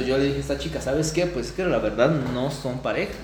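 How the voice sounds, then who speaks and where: A man with a fairly high pitch talks at a very fast pace, with noticeable background noise and audible room echo. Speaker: podcast co-host, psychology student. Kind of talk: casual chat.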